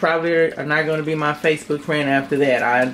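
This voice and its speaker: Noticeable background noise accompanies a woman's speech. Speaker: home cooking channel host. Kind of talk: casual cooking tutorial. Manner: animated.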